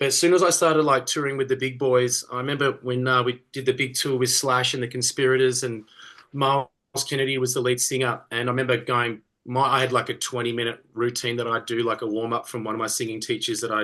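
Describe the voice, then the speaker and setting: A man speaks very fast in an Australian accent, his medium-pitched voice bright and sharp. His intonation stays monotone and flat over a quiet background. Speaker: rock singer. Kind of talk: casual interview.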